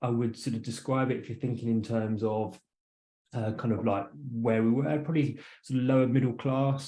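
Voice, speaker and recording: Speaking in an English accent, a man has a dark, mellow tone, medium pitch and fairly even intonation. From southern England, west of London. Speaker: entrepreneur and author. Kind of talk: interview. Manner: halting, many fillers.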